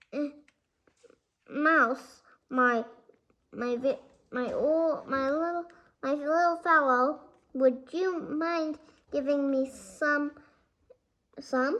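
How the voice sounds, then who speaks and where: A woman's put-on character voice, high in pitch and at a very slow pace. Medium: read story. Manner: jovial, coaxing.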